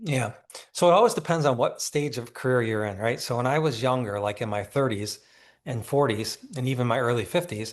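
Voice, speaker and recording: A man with a normal speaking voice, medium pitch, ordinary pitch variation and a fairly quick pace over a quiet background. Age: 60s. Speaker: neurosurgeon. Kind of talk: interview. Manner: conversational, with frequent restarts.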